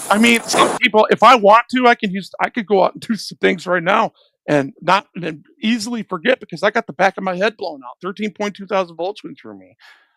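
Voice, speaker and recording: A man with an American accent, a raised, projected voice and a high pitch, ordinary pitch variation, a fairly quick pace with hardly any pauses, and a dry, close sound with no echo. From Detroit, Michigan. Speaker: YouTube reaction commentator. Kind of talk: live stream reaction commentary. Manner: casual, halting with repetitions.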